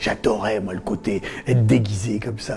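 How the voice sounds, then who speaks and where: A man talks fairly slowly, his pitch varying in an ordinary way, while noticeable background noise carries on. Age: 60s. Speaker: former cult member. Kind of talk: testimony. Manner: halting.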